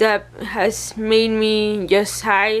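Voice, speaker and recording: A woman's fairly high, monotone voice in a Spanish accent, with flat intonation and a very slow pace. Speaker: vlogger. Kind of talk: personal vlog, venting. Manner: mumbling; halting, hesitant.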